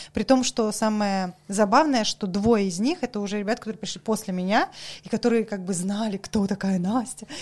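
In an animated tone, a woman speaks at a moderate pace with a fairly high, somewhat breathy voice and ordinary pitch variation. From Saint Petersburg, Russia. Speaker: coffee professional. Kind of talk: casual chat. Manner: animated, talkative.

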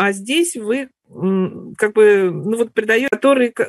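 A woman's fairly high voice, with ordinary pitch variation, comes through in a dry, close sound with no echo. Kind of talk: sharing in group discussion. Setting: online webinar.

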